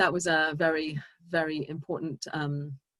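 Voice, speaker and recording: In a very clean recording with a silent background and a dry, close sound with no echo, a woman with a strong English accent speaks in a fairly low pitch with a bright, sharp tone. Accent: English, still strong after decades in US. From England, Brixton, south London. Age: 50s. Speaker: speaker sharing personal story at synagogue. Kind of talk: inspirational talk. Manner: halting, many fillers and restarts.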